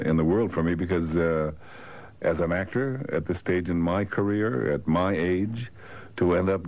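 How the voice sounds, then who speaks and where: This man has a very deep, low pitch and talks at a moderate speed. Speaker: interviewed actor. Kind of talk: interview answer. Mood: relaxed, reflective. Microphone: old recording.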